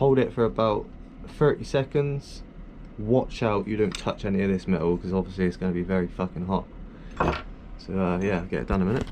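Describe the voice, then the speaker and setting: The voice has a dark, mellow tone and ordinary pitch variation, broken by long, frequent pauses. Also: man, fairly low pitch for a man, fairly quick pace. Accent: British. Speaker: airsoft hobbyist youtuber. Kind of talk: tutorial. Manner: loud; mumbling.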